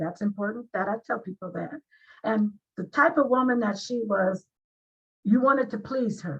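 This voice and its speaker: Using a normal speaking voice, a woman talks at a moderate pace with fairly high pitch and ordinary pitch variation. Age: 60s. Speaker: author. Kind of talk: interview.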